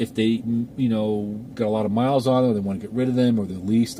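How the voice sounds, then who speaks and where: A man talks at a very fast pace and a medium pitch. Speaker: car enthusiast YouTuber. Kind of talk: casual vlog talk. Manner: conversational, repetitive fillers.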